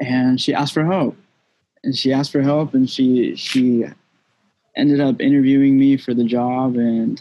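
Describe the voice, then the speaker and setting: Fairly even intonation marks this man's unremarkable speaking voice. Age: 20s. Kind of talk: casual chat.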